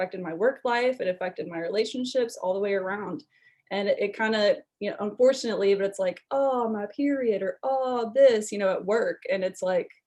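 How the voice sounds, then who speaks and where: This woman talks at a fairly quick pace in a plain, everyday voice, with fairly high pitch and ordinary pitch variation. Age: 20s. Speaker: wellness testimonial speaker. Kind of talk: personal testimony.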